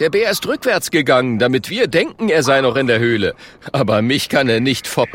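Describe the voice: Simple, plain reading aloud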